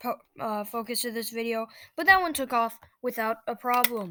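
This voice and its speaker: A woman talks at a moderate pace in a fairly high, bright and sharp voice with ordinary pitch variation. The recording is very clean, with a silent background. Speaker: flight simulator youtuber. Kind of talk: gameplay commentary. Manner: hesitant, many fillers.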